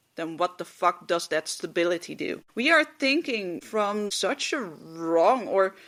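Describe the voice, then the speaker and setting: A woman with a Dutch accent and a medium pitch speaks at a fairly slow pace, her pitch swinging very widely. The recording is very clean, with a silent background. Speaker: podcast host. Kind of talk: casual monologue. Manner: halting, many fillers.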